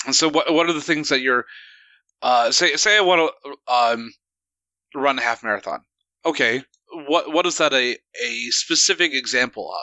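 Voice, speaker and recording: Pausing long and often, a man with an American accent speaks at a moderate pace. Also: fairly high pitch for a man, ordinary pitch variation. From United States. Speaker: radio show co-host. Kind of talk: casual chat.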